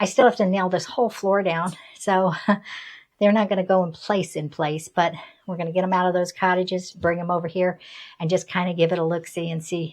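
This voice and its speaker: A woman with an American accent talks at a fairly quick pace in a normal speaking voice, medium in pitch, with fairly even intonation. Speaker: retired homesteader vlogger. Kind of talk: casual vlog narration.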